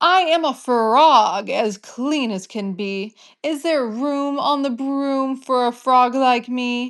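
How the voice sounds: A woman's put-on character voice, high in pitch and very slow, over a quiet background.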